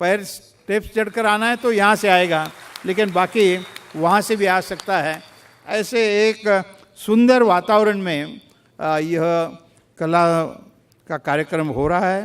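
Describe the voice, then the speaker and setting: Speaking with a Marathi accent, a man uses a high pitch with ordinary pitch variation. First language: Marathi (speaking Hindi). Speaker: chief guest dignitary. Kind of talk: formal address. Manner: formal; halting.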